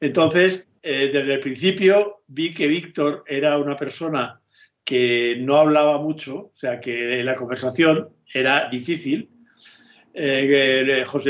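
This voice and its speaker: A man speaks in a fairly high pitch at a very slow pace. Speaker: film director. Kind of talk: interview.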